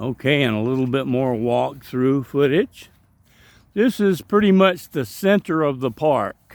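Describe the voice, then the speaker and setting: Fairly slow speech in a strong Southern US accent, with lively intonation. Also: man, fairly high pitch for a man. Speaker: travel vlogger. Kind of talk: casual walkthrough narration. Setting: outdoors in a park.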